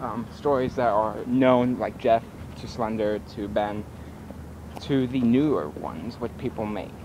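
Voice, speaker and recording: At a moderate pace, a man speaks in a dry sound with no echo, with noticeable background noise. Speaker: vlogger. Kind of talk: casual vlog chat. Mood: giggly, playful. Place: street. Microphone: phone near.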